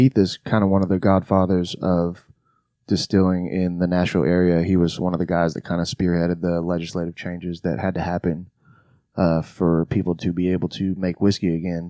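A man's very deep, low pitch with a dark, mellow tone, in a Southern US accent, monotone and flat in intonation, at a fairly quick pace against a quiet background. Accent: Southern US, picked up. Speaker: podcast host. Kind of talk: casual chat. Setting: studio.

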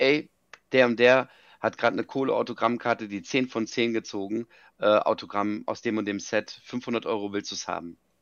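A man speaks at a medium pitch and a moderate pace, with fairly even intonation. He leaves long, frequent pauses. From Germany, Frankfurt. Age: 40s. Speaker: business founder. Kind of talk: interview.

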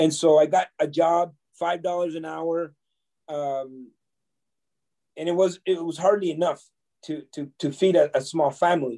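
A man speaks with a dark, mellow tone at a high pitch and fairly even intonation. His pace is fairly slow, with long, frequent pauses. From Canada (came from El Salvador at nine). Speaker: entrepreneur and motivational speaker. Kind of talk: interview.

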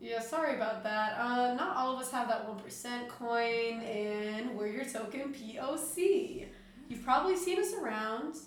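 A woman speaks at a fairly slow pace in a high voice with lively intonation. Noticeable background noise runs underneath. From Peruvian-American. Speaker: college student podcast host. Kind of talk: casual chat. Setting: home studio.

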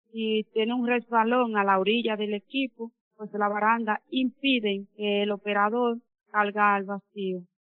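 A woman's fairly high voice, fairly slow and flat, in a monotone. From Dominican Republic. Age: 30s. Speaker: mine welder. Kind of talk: personal testimony.

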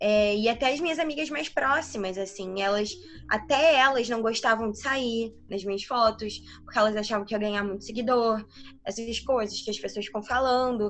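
A woman speaks in an ordinary speaking voice at a moderate pace. Her pitch is fairly high, with ordinary variation. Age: 20s. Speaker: medical student and digital influencer. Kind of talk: casual interview.

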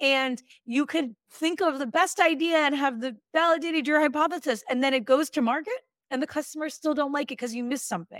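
With an American accent, a woman speaks at a fairly quick pace in a high, upbeat voice with ordinary pitch variation. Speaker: product leader coach. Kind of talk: casual interview conversation. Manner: upbeat, laughs often.

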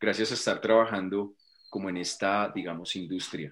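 A man speaks with a fairly low voice. The recording is very clean, with a silent background. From Colombia. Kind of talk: interview.

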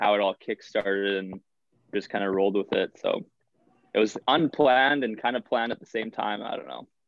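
Fairly low-pitched man with a Canadian prairie accent and ordinary pitch variation at a fairly quick pace. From Canada, Manitoba. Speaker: college hockey player and social media creator. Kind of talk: casual chat.

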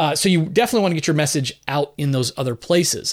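A plain, everyday voice from a fairly high-pitched man with an American accent and lively intonation. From Southern California and northern New Jersey. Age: 50s. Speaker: podcast host and author. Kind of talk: solo podcast answering listener mail. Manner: casual, conversational.

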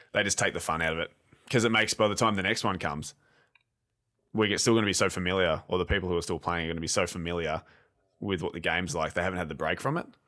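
Against a silent background in a very clean recording, a man with an Australian accent speaks very fast in a very deep, low, bright and sharp voice, with ordinary pitch variation and long, frequent pauses. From Australia, Geelong area. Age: 20s. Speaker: video game podcast co-host. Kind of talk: casual chat.

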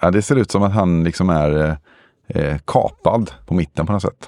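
Speaking at a low pitch with ordinary pitch variation, a man has a slightly mellow tone, recorded dry and close with no echo.

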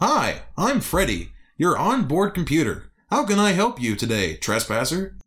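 A man does a put-on character voice, pitched high. He keeps a moderate pace. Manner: happy, cheerful.

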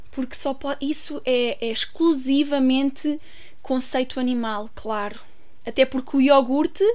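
At a moderate pace, a woman speaks in a high pitch with a European Portuguese accent. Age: 20s. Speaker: podcast host. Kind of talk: solo commentary. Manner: hesitant, many fillers.

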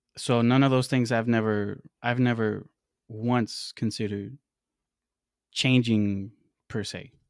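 Speech comes at a very slow pace with long, frequent pauses and fairly even intonation. The recording is very clean, with a silent background. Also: man, medium pitch for a man. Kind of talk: casual chat.

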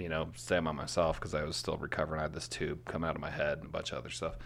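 A man talks very fast at a very deep, low pitch. His tone is bright and sharp, with vocal fry. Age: 30s. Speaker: entrepreneur. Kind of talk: casual chat. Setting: at the host's home.

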